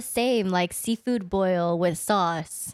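Recorded very cleanly with a silent background and a dry, close sound with no echo, a woman speaks in a Californian accent with ordinary pitch variation. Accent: Californian American English. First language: Vietnamese. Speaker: podcast guest. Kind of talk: casual chat.

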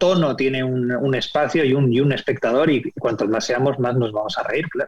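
A normal speaking voice from a man, medium in pitch, at a moderate pace. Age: 40s. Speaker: TV screenwriter and director. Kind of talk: interview.

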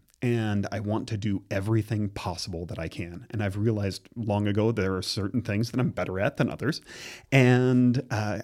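A man with a plain, everyday voice, fairly low in pitch, at a fairly quick pace, in a very clean recording with a silent background. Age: 40s. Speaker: visual arts teacher. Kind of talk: casual interview.

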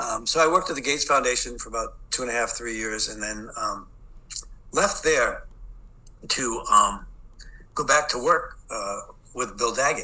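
Pausing long and often, a man with a Boston accent speaks at a moderate pace. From Boston, US. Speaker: education expert. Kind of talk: interview. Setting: video call.

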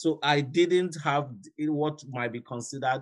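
A man speaks with a Nigerian accent and ordinary pitch variation. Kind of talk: recorded interview.

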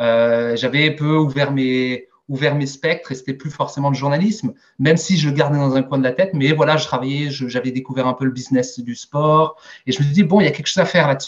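A man talks at a fairly quick pace. His pitch sits fairly high, with ordinary variation. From Alsace, Strasbourg. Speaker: sales director. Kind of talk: interview. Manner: hesitant, many fillers.

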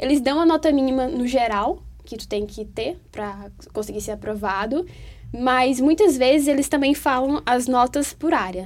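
A woman with a high pitch talks at a moderate pace with lively intonation. Her loudness swings widely. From Brazil, Teresina (Piauí, Northeast). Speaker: university student. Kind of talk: casual interview chat.

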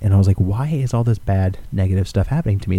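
A man talks at a very fast pace with lively intonation, pitched fairly low for a man. His tone is dark and mellow, and somewhat breathy. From Alaska. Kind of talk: casual chat.

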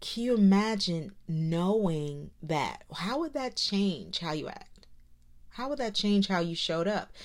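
At a fairly slow pace, a woman speaks at a medium pitch with lively intonation in a normal speaking voice. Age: 30s. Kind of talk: encouraging monologue. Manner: warm, conversational.

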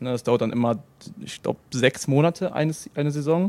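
In a very clean recording with a silent background and a dry, close sound with no echo, a man with a normal speaking voice talks at a fairly quick pace with ordinary pitch variation. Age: 20s. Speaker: professional esports player. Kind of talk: casual interview.

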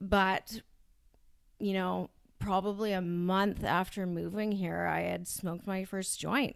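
A woman with a Canadian accent speaks at a very slow pace. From Ontario, Canada (Brampton). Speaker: addiction recovery worker. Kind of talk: personal testimony in interview.

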